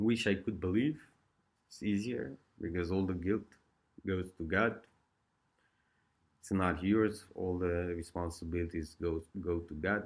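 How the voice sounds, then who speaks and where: In an Eastern European accent, a man speaks with a very deep, low pitch. He goes at a fairly slow pace with long, frequent pauses. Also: ordinary pitch variation. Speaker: vlogger sharing addiction recovery experiences. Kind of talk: casual monologue.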